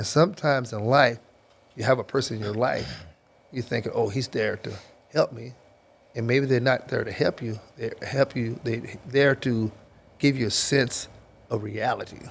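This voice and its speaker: Somewhat breathy, a man talks at a moderate pace and medium pitch with fairly even intonation and long, frequent pauses. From Kentucky, Louisville. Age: 60s. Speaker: football coach, former NFL player. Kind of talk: podcast interview.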